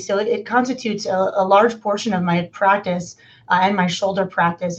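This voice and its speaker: Fairly even intonation in a woman's medium-pitched voice, a normal speaking voice. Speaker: orthopedic surgeon. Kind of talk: interview answering clinical questions.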